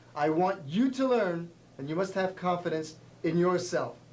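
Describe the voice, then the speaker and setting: A man talks at a high pitch with ordinary pitch variation. Audible room echo is present. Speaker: karate instructor. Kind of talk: tv show martial arts instruction.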